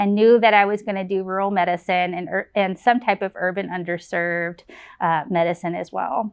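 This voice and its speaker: A woman with an American accent speaks in a plain, everyday voice at a medium pitch. Her pace is fairly quick and her intonation fairly even. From Texas, Lancaster near Dallas. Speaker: family medicine physician and residency program director. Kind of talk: program introduction testimonial.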